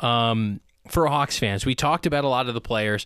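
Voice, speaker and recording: On a very clean recording with a silent background, a man with an ordinary speaking voice talks at a moderate pace, medium pitch and fairly even intonation. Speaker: radio host. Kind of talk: casual chat. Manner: casual, joking.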